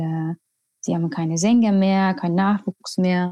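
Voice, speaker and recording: A woman's medium-pitched voice with an Estonian accent, dark and mellow in tone, fairly even in intonation, dry and close with no echo, over a quiet background. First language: Estonian (speaking German). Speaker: choir conductor. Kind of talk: interview. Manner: hesitant, with fillers.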